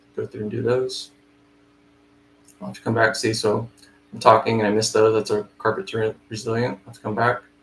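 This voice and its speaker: Amid noticeable background noise, a man speaks at a fairly quick pace with fairly even intonation, big swings in loudness and long, frequent pauses. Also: medium pitch for a man. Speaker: flooring estimator. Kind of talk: live screen-share tutorial. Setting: live stream, no camera. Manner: fast.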